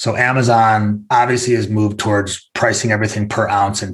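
The speaker is a man with a fairly low pitch. He has an unremarkable speaking voice and talks at a moderate pace. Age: 40s. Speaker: e-commerce executive. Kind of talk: business interview.

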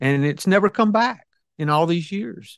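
A man with a Southern US accent speaks with lively intonation in a dry, close sound with no echo against a quiet background. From US South. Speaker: businessman and author. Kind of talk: casual interview chat. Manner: halting, filler-heavy.

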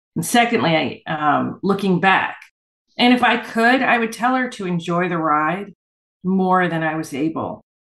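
In an ordinary speaking voice, a woman talks at a medium pitch with lively intonation. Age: 60s. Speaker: urban fantasy author. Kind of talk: interview.

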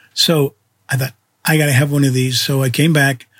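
A man speaks in a somewhat breathy voice at a fairly high pitch. His intonation stays fairly even. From Canada. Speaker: photographer and podcast host. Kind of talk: autobiographical storytelling monologue.

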